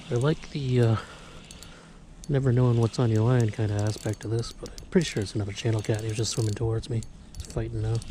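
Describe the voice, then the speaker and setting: A man speaks quietly at a medium pitch and a very fast pace, with fairly even intonation and long, frequent pauses. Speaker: fishing video host. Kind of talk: casual outdoor vlog narration. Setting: outdoors by a river. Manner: quiet, keeping voice down.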